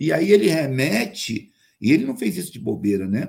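Very wide pitch swings mark this man's speech. He keeps to a fairly slow pace. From Rio de Janeiro, Brazil. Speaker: actor and playwright. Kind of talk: interview. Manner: animated.

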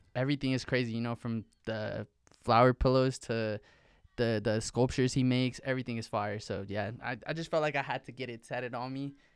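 At a fairly quick pace, a man with a plain, everyday voice talks at a medium pitch with fairly even intonation. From Mexico, raised in Pecos, Texas. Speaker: rapper. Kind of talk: casual chat. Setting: studio.

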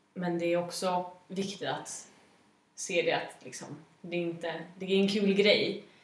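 A woman speaks in a medium pitch at a fairly slow pace, her intonation monotone and flat. The room's echo is audible. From Gävle, Sweden. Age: 20s. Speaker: student union official. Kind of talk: casual podcast interview.

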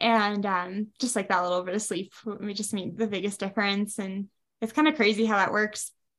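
A woman with an American accent talks at a fairly quick pace and medium pitch in an unremarkable speaking voice. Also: fairly even intonation. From US Midwest, Wisconsin. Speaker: ultrarunner and running coach. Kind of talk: interview.

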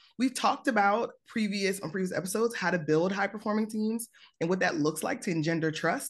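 A woman talks in an animated, somewhat breathy way with lively intonation against a quiet background. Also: medium pitch for a woman, fairly quick pace. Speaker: podcast host, career coach. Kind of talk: casual interview chat. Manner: animated, excitable.

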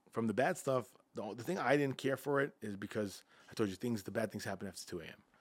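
Talking very fast with a New York accent, a man uses a fairly low pitch and big swings in loudness. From Long Island, New York. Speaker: nightlife entrepreneur. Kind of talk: casual chat.

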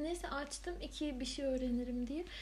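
A woman's speech, unhurried and somewhat slow with ordinary pitch variation, carries audible room echo against noticeable background noise. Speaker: podcast co-host. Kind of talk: casual chat. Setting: home recording. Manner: whispery, soft-spoken.

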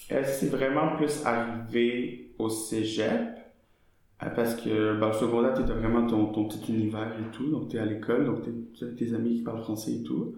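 A man with a Quebec accent at a moderate pace, fairly even intonation and audible room echo. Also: medium pitch for a man. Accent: Québécois. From Quebec, Montreal. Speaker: student and actor. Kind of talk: casual interview.

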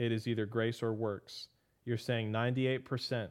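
With a plain, everyday voice, a man speaks at medium pitch and with fairly even intonation. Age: 30s. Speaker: pastor and podcast host. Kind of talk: Bible teaching podcast.

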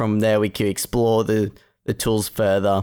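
Against a very clean, silent background, a man with an Australian accent speaks in a fairly low, monotone, flat voice. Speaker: student competitor. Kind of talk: casual technical discussion.

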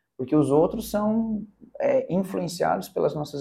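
A man's voice has a dark, mellow tone and is somewhat breathy. He moves at a moderate pace with ordinary pitch variation. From Curitiba, southern Brazil. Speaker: public speaking mentor. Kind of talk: casual interview.

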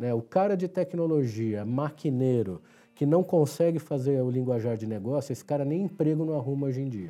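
A man's fairly high voice with a dark, mellow tone, lively intonation and a moderate pace. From São Paulo, Brazil (Ipiranga). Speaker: IT executive. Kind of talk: interview. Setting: studio.

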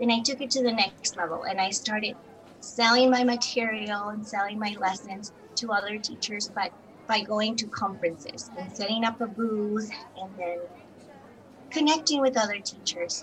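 Speaking at a moderate pace, a woman has a fairly high pitch with ordinary pitch variation. Noticeable background noise is present. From Colombia. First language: Spanish. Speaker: bilingual teacher and entrepreneur. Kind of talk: interview.

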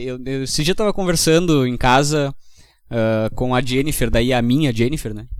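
In a room with audible echo, a man speaks at a moderate pace and a medium pitch, with ordinary pitch variation. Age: 20s. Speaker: tech company co-founder. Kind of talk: casual chat. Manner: halting.

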